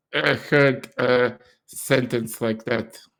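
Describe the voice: A man with a medium pitch speaks slowly, his fairly bright tone touched with vocal fry and his intonation fairly even.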